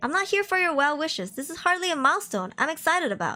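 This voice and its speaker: A woman projects her raised voice at a fairly quick pace, her tone bright and sharp with very wide pitch swings. The recording is very clean, with a silent background. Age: 20s. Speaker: vtuber streamer. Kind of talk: reading aloud with live commentary. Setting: livestream. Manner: animated.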